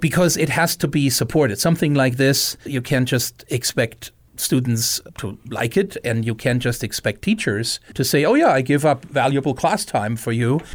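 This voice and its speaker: A man speaks at a moderate pace with a German accent and medium pitch. His intonation is lively, with hardly any pauses. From Germany. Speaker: outreach program director. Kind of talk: interview.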